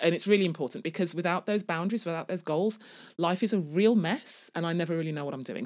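Words come out very fast on a very clean recording where the background is silent. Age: 40s. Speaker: podcast host and life coach. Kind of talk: casual solo podcast monologue. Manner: animated.

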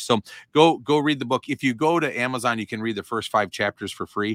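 In an ordinary speaking voice with ordinary pitch variation, a man speaks at a moderate pace in a very clean recording with a silent background and a dry, close sound with no echo. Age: 40s. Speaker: real estate coach. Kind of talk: interview. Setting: kneeling on office floor for podcast.

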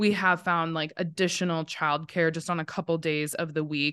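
A woman speaks in an unremarkable speaking voice with an American accent at a fairly low pitch and moderate pace. Her pitch varies in an ordinary way against a quiet background. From Montana. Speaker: lawyer and business educator. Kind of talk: casual interview.

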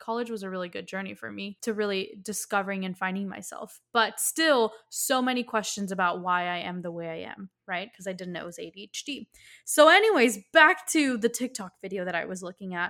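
A woman with an American accent at a medium pitch, bright and sharp in tone, fairly quick with hardly any pauses, ordinary pitch variation and big swings in loudness, on a very clean recording with a silent background. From Miami, Florida. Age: 20s. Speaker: podcast host and business coach. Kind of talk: solo podcast monologue.

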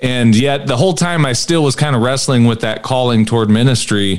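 This man has an American accent. He talks at a fairly quick pace. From US Midwest, Peoria Illinois. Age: 40s. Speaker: pastor and former firefighter. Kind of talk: casual chat.

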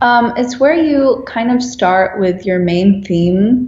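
Delivered at a very slow pace with a Dutch accent and ordinary pitch variation, the speech has noticeable background noise behind it. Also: woman. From Netherlands. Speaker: graphic designer. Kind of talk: interview.

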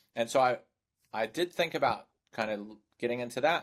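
A man with a New Zealand accent, moderate pace and ordinary pitch variation, in a very clean recording with a silent background. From New Zealand (Hamilton). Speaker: sales recruiter. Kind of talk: podcast interview.

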